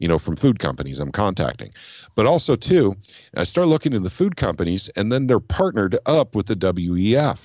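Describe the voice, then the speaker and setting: Fairly low in pitch, a man talks at a fairly quick pace with very wide pitch swings. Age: 50s. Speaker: political activist. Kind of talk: casual chat.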